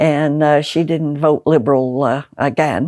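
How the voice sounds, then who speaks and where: A woman with an American accent speaks in a very deep, low voice with a dark, mellow tone and monotone, flat intonation. The recording is very clean, with a silent background. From Liverpool, England. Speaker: political candidate. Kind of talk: interview. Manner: halting with many fillers and repetitions.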